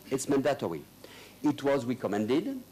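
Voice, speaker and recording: A man speaks in a fairly high pitch. His voice makes very wide pitch swings. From northern France (Lille). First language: French. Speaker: lawyer. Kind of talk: conference speech. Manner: halting.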